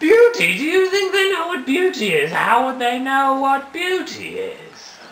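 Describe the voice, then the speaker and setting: This is a cartoonish character voice with an extremely high pitch. It moves at a moderate pace. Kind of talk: comic overacting. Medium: puppet show. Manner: calm, soothing, mentoring.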